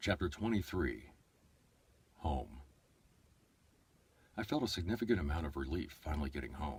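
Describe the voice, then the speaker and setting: A man's very deep, low pitch with vocal fry, lively intonation and a fairly quick pace. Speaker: voice-over artist and audiobook narrator. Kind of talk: audiobook narration; casual livestream chat. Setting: livestream from an iPad. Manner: fast.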